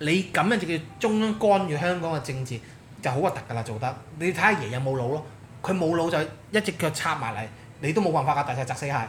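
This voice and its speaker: Very fast and animated, a man with a fairly high pitch speaks with lively intonation. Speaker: political commentator. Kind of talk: casual chat.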